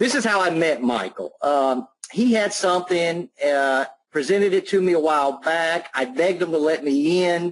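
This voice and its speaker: A man speaks at a moderate pace in a high pitch with a slight Southern US accent. His intonation is lively and his loudness very even. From Alabama. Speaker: online marketer. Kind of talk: testimonial on webinar. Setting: online webinar call. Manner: casual.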